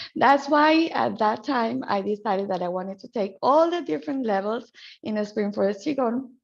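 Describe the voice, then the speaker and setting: In a Spanish accent, a woman talks at a moderate pace with a fairly high pitch. Her pitch swings very widely. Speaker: qigong healer and trainer. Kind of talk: guided qigong practice class introduction.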